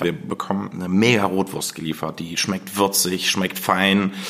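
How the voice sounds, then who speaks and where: Noticeable background noise accompanies a man whose voice is fairly low. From Germany, Harz region (Blankenburg, Saxony-Anhalt). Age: 30s. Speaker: chef. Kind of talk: interview. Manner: fast; animated.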